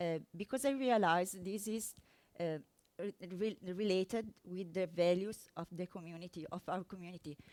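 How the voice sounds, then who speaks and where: Here a woman speaks with an Italian accent and ordinary pitch variation. The sound is dry and close, with no echo. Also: medium pitch for a woman, moderate pace. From Italy. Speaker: software developer. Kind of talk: conference talk. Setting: stage with audience. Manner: halting, many fillers.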